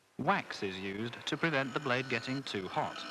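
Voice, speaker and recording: Against noticeable background noise, a man speaks at a moderate pace and medium pitch with lively intonation. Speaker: documentary narrator. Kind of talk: documentary narration. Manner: soft-spoken.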